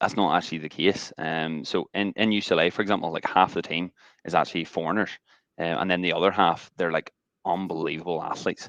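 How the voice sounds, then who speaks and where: With an American accent, a man speaks at a very fast pace in a very deep, low pitch with ordinary pitch variation, the sound dry and close with no echo against a quiet background. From Northern Ireland, Ballymena. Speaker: rugby coach. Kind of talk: webinar interview.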